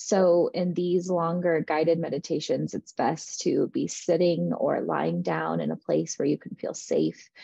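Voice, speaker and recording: A woman at a fairly slow pace with hardly any pauses. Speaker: meditation guide. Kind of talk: guided meditation. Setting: online video, listened to with headphones. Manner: intimate, hushed, with long pauses.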